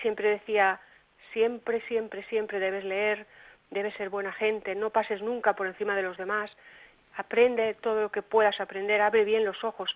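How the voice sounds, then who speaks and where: A woman's fairly high, monotone voice with flat intonation at a moderate pace. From Spain, Cantabria (Santander). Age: 60s. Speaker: poet. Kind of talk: interview.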